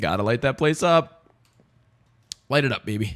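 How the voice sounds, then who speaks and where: In an animated tone, a man speaks at a moderate pace with very wide pitch swings. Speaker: gaming YouTuber. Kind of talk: gameplay commentary.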